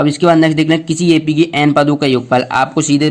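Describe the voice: A man speaks at a fairly quick pace. His pitch moves very little.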